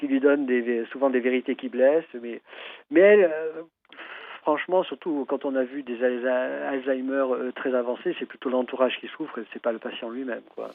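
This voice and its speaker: Medium-pitched male speech with fairly even intonation. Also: moderate pace. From Algeria (French pied-noir family, Algiers). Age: 60s. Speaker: traditional Chinese medicine practitioner and author. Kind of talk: radio interview. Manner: halting, many repetitions and hesitations.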